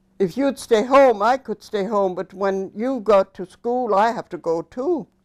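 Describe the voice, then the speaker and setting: Music in the background behind a woman's fairly slow speech. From Cape Breton, Nova Scotia (Inverness County). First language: Scottish Gaelic. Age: 90s. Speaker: elderly Gaelic speaker interviewee. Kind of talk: oral history interview.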